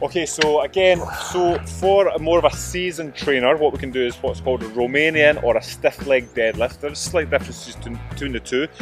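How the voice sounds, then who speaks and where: A man with a Scottish accent at a fairly quick pace, dry sound with no echo, and clear music in the background. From Scotland. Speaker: fitness coach. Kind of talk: exercise instruction to camera. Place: open country.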